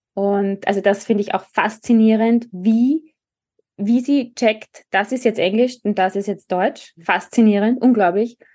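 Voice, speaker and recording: A woman's dark, mellow tone, fairly high in pitch, at a fairly slow pace with fairly even intonation. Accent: Austrian. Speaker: speech therapist. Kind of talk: casual chat.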